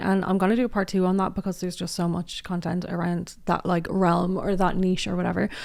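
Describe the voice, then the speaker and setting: Speaking at a fairly quick pace, a woman with an Irish accent uses a medium pitch. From Ireland. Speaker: commentary youtuber. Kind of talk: casual commentary. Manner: animated.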